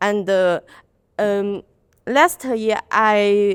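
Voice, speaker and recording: At a very slow pace, a woman speaks at a medium pitch in a very clean recording with a silent background. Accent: Chinese. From China. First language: Chinese. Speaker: student. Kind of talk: class presentation. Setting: classroom with audience, microphone. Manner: halting.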